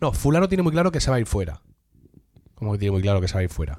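A man's dark, mellow tone with very wide pitch swings. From Murcia, Spain. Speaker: podcast host. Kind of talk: casual chat among friends, humorous.

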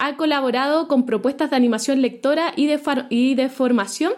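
The woman's voice is high-pitched. She talks at a moderate pace. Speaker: podcast host. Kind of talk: scripted narration; interview.

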